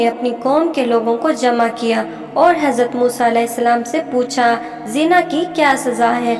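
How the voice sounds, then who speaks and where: With music playing in the background, a woman speaks in a high pitch with ordinary variation. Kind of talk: religious story narration.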